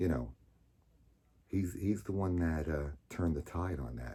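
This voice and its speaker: On a very clean recording with a silent background, a man with an American accent speaks at a moderate pace in a very deep, low voice with a dark, mellow tone. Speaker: storyteller. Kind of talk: personal storytelling. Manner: loud; casual, halting with fillers.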